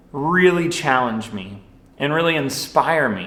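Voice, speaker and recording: Audible room echo surrounds the man as he speaks. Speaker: youth minister. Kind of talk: sermon. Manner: loud; casual.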